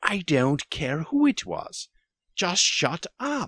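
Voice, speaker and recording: In a put-on character voice, a man whispers with a hissing sound at a very slow pace, recorded dry and close with no echo. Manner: irritable, scolding.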